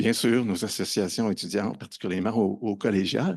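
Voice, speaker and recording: Speaking at a fairly quick pace, a man with a fairly low pitch and a slight Quebec accent talks over a quiet background. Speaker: conference speaker on open educational resources. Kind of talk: conference presentation. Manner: hesitant, many fillers and repetitions.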